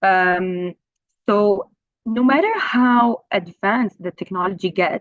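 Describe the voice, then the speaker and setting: Over music in the background, a woman speaks at medium pitch and a very slow pace with ordinary pitch variation. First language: Arabic. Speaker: translation professor. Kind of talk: conference talk. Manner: hesitant, many fillers.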